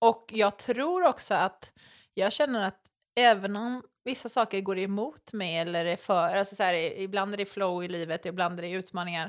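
A woman with an ordinary speaking voice talks at a moderate pace and medium pitch, with ordinary pitch variation, in a very clean recording with a silent background. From western Sweden, island near Gothenburg. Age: 30s. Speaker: reality TV contestant. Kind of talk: casual interview chat. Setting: at the host's home.

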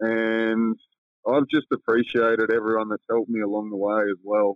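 A man with an Australian accent, medium pitch and a moderate pace. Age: 30s. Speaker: professional basketball player. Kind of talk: casual interview chat.

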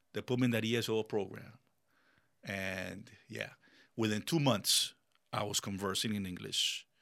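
A man's fairly low, bright, sharp voice at a moderate pace, broken by long, frequent pauses. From Colombia, raised in Miami. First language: Spanish. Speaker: business owner and military veteran. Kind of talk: casual interview chat. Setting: studio. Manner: animated.

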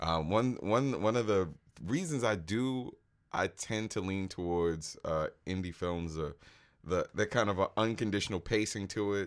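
A man with an ordinary speaking voice talks at a moderate pace, his fairly low pitch moving with ordinary variation, in a very clean recording with a silent background. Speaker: podcast co-host. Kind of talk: casual chat.

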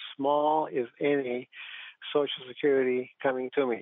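A man's voice sits fairly high in pitch, with monotone, flat intonation. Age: 60s. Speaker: retired teacher calling in. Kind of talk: call-in question. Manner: halting, many fillers.

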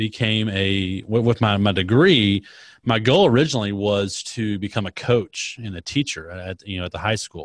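A man's fairly low voice with an American accent, moderate pace and ordinary pitch variation, big swings in loudness, dry, close sound with no echo, very clean recording and silent background. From Texas, small-town Dallas area. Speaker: social media expert and podcast host. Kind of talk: interview conversation.

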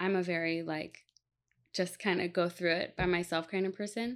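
A woman with an ordinary speaking voice, fairly low in pitch, keeps her intonation fairly even. The recording is very clean, with a silent background. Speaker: podcast host. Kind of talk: casual interview.

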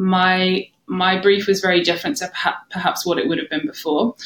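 At a fairly quick pace, a woman with an unremarkable speaking voice talks at a medium pitch. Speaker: coaching client sharing life story. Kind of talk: casual interview.

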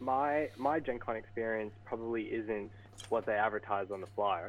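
Speaking at a moderate pace and medium pitch, a man uses a normal speaking voice. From Vancouver, British Columbia, Canada. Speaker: card game player. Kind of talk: casual chat.

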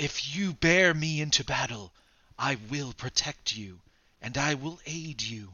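Putting on a character voice, a man speaks fairly slowly in a fairly high pitch. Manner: pleading, urgent.

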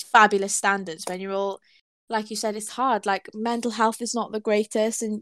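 A woman speaks at a moderate pace with monotone, flat intonation in a dry, close sound with no echo. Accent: Welsh. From Wales. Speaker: podcast host. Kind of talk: casual interview.

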